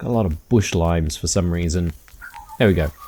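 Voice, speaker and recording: Here a man speaks with an Australian accent. His pace is moderate. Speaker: gaming YouTuber. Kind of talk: let's play commentary. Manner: casual, hesitant with many fillers.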